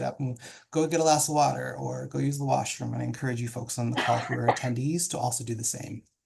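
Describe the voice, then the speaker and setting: Somewhat breathy and medium in pitch, a man's voice moves at a very fast pace. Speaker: professional development consultant, panel moderator. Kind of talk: moderated online panel introduction. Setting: video call.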